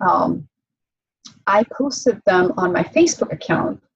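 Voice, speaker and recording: A woman talks in a somewhat breathy voice. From Czech Republic (Prague). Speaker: bikini competitor and cigar influencer. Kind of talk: casual interview chat.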